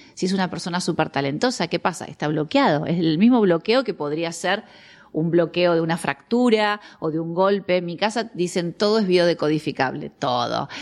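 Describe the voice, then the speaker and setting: At a moderate pace, a woman talks in a plain, everyday voice, fairly low in pitch, with lively intonation. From Argentina. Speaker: biologist and biodecoding therapist. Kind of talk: interview conversation.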